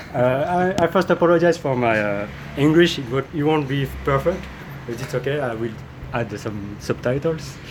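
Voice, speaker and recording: There is noticeable background noise as a man talks at a moderate pace. His voice is medium in pitch with ordinary pitch variation. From France. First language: French. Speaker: French teacher and interviewer. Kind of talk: interview. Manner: halting, many fillers.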